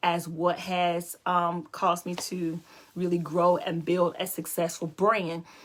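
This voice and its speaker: A woman's fairly low voice with an American accent at a fairly slow pace. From North Carolina. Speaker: livestream host and brand coach. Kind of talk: personal testimony in a live video chat.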